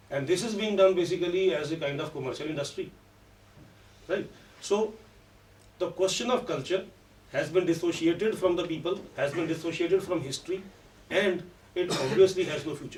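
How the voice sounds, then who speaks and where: A man with a high pitch speaks at a fairly quick pace in a Punjabi accent, with ordinary pitch variation. Long, frequent pauses break up his speech, and the room echo is audible. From Punjab, India. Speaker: professor of English. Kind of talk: conference talk.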